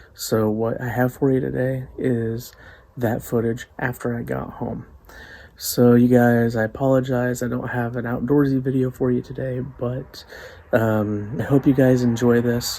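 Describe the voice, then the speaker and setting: Quiet and fairly slow, a man speaks with monotone, flat intonation. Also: medium pitch for a man. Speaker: outdoors and cooking vlogger. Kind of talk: casual vlog. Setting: at home at night.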